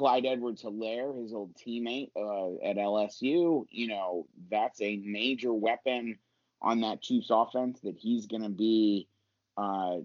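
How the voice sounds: A man talks at a fairly slow pace, his pitch fairly low with ordinary variation.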